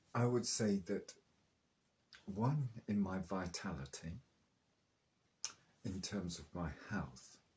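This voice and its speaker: A man with a southern English accent speaks at a very slow pace, with long, frequent pauses. His fairly low voice is somewhat breathy, with lively intonation. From southern England, Oxfordshire/Chilterns. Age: 70s. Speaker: raw food enthusiast. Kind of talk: interview.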